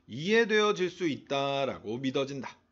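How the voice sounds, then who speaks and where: This man talks at a very slow pace, and his pitch swings very widely. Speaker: English teacher. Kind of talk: lecture. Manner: casual, filler-heavy explanation.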